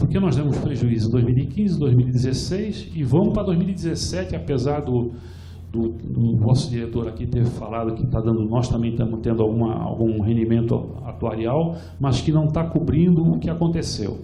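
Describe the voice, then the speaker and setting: A man talks at medium pitch and a moderate pace with lively intonation. Noticeable background noise and audible room echo come through. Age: 70s. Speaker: retired pension fund participant and activist speaker. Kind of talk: conference talk. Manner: halting, many repetitions.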